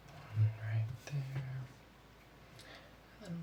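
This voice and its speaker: A calm tone over noticeable background noise. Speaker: ASMR creator playing a drawing teacher. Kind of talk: ASMR role play, drawing class instruction. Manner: soft, slow, calm.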